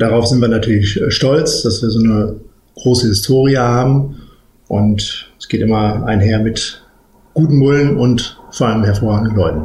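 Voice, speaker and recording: The man's voice is somewhat breathy, with ordinary pitch variation. Audible room echo is present. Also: medium pitch for a man, moderate pace. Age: 40s. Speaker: managing director of a cattle genetics company. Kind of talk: interview.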